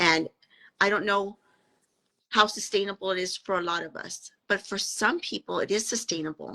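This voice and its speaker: Her tone bright and sharp, a woman with an American accent speaks at a moderate pace in a medium pitch with ordinary pitch variation. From US South, Texas-Mexico border (McAllen, Texas). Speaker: podcast guest, fasting advocate. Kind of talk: casual interview chat.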